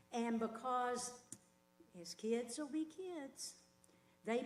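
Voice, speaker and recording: A woman talks at a very slow pace with ordinary pitch variation. Noticeable background noise and audible room echo accompany her. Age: 70s. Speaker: resident speaking at public comment. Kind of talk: public comment at county meeting.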